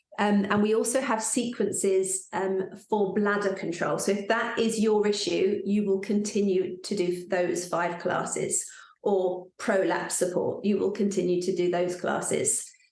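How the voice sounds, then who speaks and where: In a room with audible echo, a woman speaks fairly slowly at a medium pitch, flat and monotone, with very even loudness. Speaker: pelvic floor fitness teacher. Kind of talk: live workshop talk.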